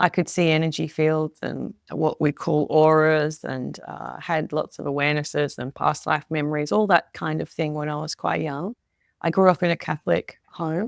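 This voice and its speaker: A woman with an Australian accent and a very deep, low pitch speaks at a moderate pace with hardly any pauses and fairly even intonation, in a dry, close sound with no echo on a very clean recording with a silent background. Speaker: spiritual channeler and author. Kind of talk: interview.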